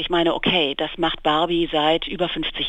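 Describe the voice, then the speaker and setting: Noticeable background noise sits behind a woman speaking. Her pitch is fairly low and her pace moderate. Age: 50s. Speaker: magazine editor. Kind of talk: interview. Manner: hesitant, many fillers.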